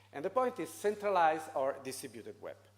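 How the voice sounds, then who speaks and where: A man's pitch swings very widely as he talks fairly slowly. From Italy. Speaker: foundation president. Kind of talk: conference talk. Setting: seminar with audience. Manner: halting, many fillers.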